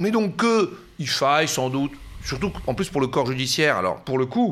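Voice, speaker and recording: On a very clean recording with a silent background, a man speaks at a moderate pace in a fairly high voice with vocal fry and very wide pitch swings. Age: 40s. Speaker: professor. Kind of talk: interview. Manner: halting.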